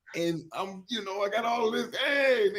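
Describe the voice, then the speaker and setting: A man speaks loudly in an animated tone, his pitch swinging very widely. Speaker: show co-host. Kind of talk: casual chat.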